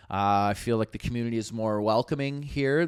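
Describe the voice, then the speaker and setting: In a plain, everyday voice with a Canadian accent, a man speaks at a moderate pace with lively intonation, on a very clean recording with a silent background. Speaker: comedian and podcast co-host. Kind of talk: casual chat.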